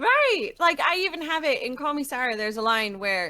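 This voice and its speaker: In an American accent, a raised, projected voice with a bright, sharp tone and an animated manner moves at a moderate pace through very wide pitch swings, recorded very cleanly against a silent background. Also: woman. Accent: Irish accent that slips out when angry. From County Offaly, Ireland and New York. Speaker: game studio founder and creative director. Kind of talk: livestreamed interview. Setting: livestream.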